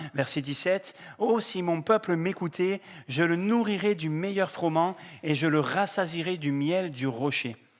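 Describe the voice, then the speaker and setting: Talking at a fairly slow pace, a man with a southern French accent has fairly high pitch and ordinary pitch variation. The recording is very clean, with a silent background. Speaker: pastor. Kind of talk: sermon. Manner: hesitant, many fillers.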